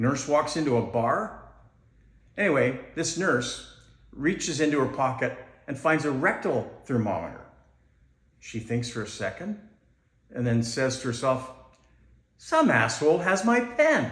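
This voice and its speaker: In a room with audible echo, a man with a medium-pitched voice speaks at a fairly slow pace, his intonation lively and his pauses long and frequent. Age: 60s. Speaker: amateur comedian. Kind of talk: stand-up. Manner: halting.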